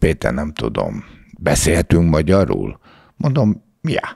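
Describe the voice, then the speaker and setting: A man talks at a very slow pace with vocal fry and very wide pitch swings. The background is quiet. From Hungary, Budapest; Hungary. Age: 70s. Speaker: former bodyguard and model agency owner; podcast guest. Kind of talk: interview. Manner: casual. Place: studio. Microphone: studio mic.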